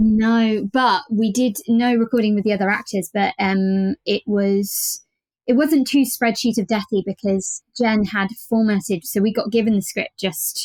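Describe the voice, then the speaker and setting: A woman with a British accent talks at a fairly slow pace in a fairly high, somewhat breathy voice, with ordinary pitch variation, very even loudness, and a dry, close sound with no echo. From Britain. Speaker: voice actor. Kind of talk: podcast interview. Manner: hesitant, many fillers and repeats.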